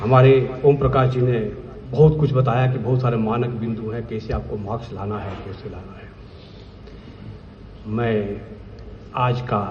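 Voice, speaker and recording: Amid audible room echo and noticeable background noise, a man speaks at a medium pitch. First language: Bhojpuri (speaking Hindi). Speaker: vigilance officer. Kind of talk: speech at official event. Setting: stage with audience. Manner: emphatic.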